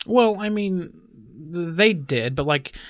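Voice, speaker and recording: Here is a man with an unremarkable speaking voice and an American accent. He keeps a moderate pace and lively intonation. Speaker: podcast co-host. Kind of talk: casual chat. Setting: studio.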